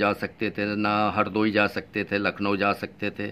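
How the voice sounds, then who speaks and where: A man, with light background noise. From Uttar Pradesh, India. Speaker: YouTube vlogger. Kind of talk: vlog monologue. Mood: earnest, insistent. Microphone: phone near.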